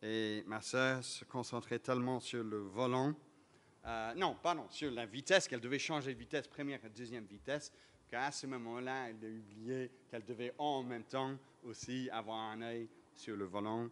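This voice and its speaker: A man with a slight British accent, medium pitch, fairly even intonation and a moderate pace. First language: English (speaking French). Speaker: pastor. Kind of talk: sermon. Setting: church service. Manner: many filler hesitations.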